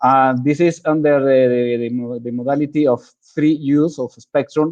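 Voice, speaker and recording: This man speaks with a non-native accent at a moderate pace. His voice is fairly high, and his intonation fairly even. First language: Spanish. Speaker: government agency head. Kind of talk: presentation. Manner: halting, repetitive.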